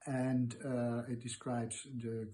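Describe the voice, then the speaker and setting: A man with a Dutch accent speaks in a dark, mellow tone that is somewhat breathy. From Netherlands. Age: 70s. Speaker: retired archivist interviewee. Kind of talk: interview. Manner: halting, many fillers.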